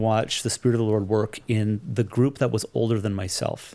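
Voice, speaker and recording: A man with a Canadian accent, a dark, mellow tone and a moderate pace. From Canada, Toronto area. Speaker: migrant worker ministry leader. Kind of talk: casual interview.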